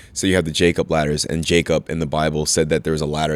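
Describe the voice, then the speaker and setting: In an American accent, a man with a very deep, low pitch talks at a very fast pace. His intonation stays monotone and flat, and the sound is dry and close with no echo. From US Northeast, Bethlehem, Pennsylvania. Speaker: gym owner. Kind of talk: casual chat. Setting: in a gym.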